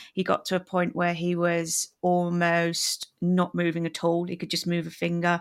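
Talking with a British accent at a moderate pace, a woman keeps a fairly low pitch and monotone, flat intonation with hardly any pauses, on a very clean recording with a silent background. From England. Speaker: podcast host.

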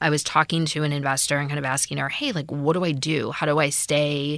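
Speaking at a very fast pace with an American accent, a woman uses a very deep, low pitch with vocal fry and monotone, flat intonation in a very clean recording with a silent background. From US Midwest. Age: 30s. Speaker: startup founder. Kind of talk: interview.

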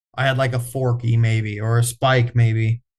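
Speaking with an American accent, a man uses a medium pitch, a somewhat breathy voice, a moderate pace, and fairly even intonation. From US Midwest, east central Iowa. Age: 20s. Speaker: bowhunter. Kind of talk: casual interview chat.

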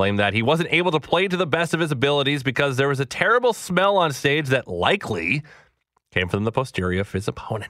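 Vocal fry marks this fairly quick speech, which has very wide pitch swings. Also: man. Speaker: sports radio host. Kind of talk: radio sports show podcast. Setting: radio studio.

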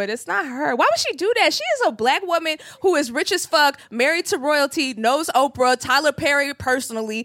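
In a dry, close recording with no echo, a woman with a high voice projects loudly and speaks fairly quickly, her pitch swinging very widely. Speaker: podcast host, comedian. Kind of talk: casual chat. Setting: stage with audience.

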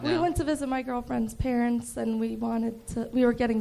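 Moderate-paced speech from a woman with an American accent, noticeable background noise behind it. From Chicago. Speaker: comedian. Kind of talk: stand-up. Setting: stage with audience. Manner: monotone.

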